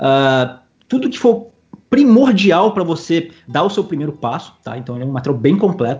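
A somewhat breathy man with lively intonation at a fairly quick pace. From Espírito Santo, Brazil. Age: 20s. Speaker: professional poker player. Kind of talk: casual interview.

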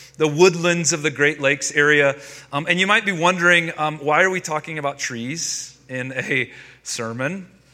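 With an American accent, a man with a plain, everyday voice speaks at a moderate pace, fairly high in pitch and with ordinary pitch variation. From North Carolina, US South. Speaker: pastor. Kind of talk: sermon.

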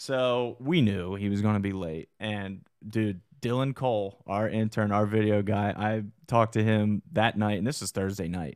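Speaking at a fairly low pitch with fairly even intonation, a man with a plain, everyday voice is heard on a very clean recording with a silent background. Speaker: combat sports promotion podcast host. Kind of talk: casual chat. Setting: studio. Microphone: good studio mic.

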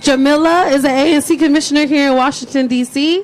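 A woman's high pitch with ordinary pitch variation at a moderate pace, amid noticeable background noise. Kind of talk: rally speech. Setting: outdoor rally with crowd. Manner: loud call-and-response, hype-building, crowd-leading.

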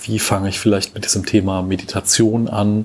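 This man's voice sits fairly low in pitch. He talks at a moderate pace. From Germany, Cologne. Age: 30s. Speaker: podcast host. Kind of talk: solo podcast monologue. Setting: home recording. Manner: hesitant, many fillers.

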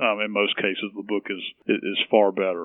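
A fairly low male voice with monotone, flat intonation. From Tennessee, Nashville. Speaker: healthcare association executive. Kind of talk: interview. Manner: halting, many fillers.

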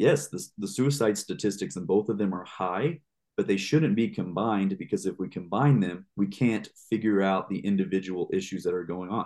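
An unremarkable speaking voice from a man with an American accent, fairly low in pitch, at a moderate pace with ordinary pitch variation. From Texas. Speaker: former firefighter and paramedic instructor. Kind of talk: interview podcast.

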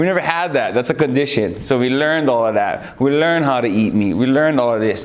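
A man speaks at a fairly quick pace in an energetic tone with ordinary pitch variation. Noticeable background noise is present. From Hawaii. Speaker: MMA fighter. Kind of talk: interview.

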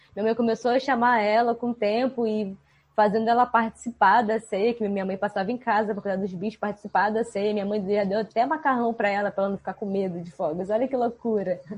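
A woman speaks very fast with hardly any pauses, in a fairly high, somewhat breathy voice. Her intonation stays fairly even. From Rio de Janeiro state, Brazil. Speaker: animal trainer. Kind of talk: casual chat.

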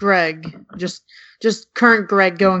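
This is a plain, everyday voice. Its intonation is fairly even. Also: woman. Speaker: podcast panelist. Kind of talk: casual chat.

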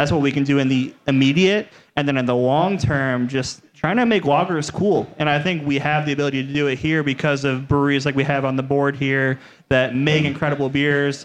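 A man with an American accent and a plain, everyday voice, fairly high in pitch, with fairly even intonation. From Cleveland, Ohio. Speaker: brewery marketing director. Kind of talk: casual panel discussion. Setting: live show with audience.

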